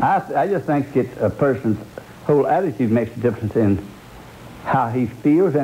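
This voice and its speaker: With noticeable background noise behind him, a man at a medium pitch speaks at a moderate pace with lively intonation, very even loudness, and long, frequent pauses. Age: 70s. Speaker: kidney transplant patient. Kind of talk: TV news interview answer.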